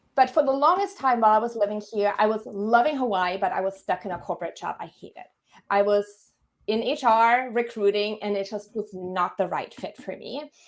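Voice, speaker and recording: A woman with a German accent, fairly high in pitch, fairly quick, with ordinary pitch variation and big swings in loudness. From Germany. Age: 30s. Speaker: career coach. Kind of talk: podcast interview.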